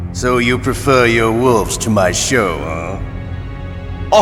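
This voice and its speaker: A man puts on a character voice at a medium pitch and speaks at a very slow pace. Loud music plays in the background. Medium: machinima. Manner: sneering, playful cruelty.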